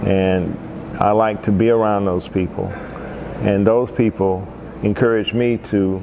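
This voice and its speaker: The speaker has an American accent, fairly even intonation and very even loudness. Long, frequent pauses break up the speech over noticeable background noise. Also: man. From US South, Asheville, North Carolina. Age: 60s. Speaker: musician and festival organizer. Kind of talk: personal life story monologue. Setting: indoors at a historic arcade.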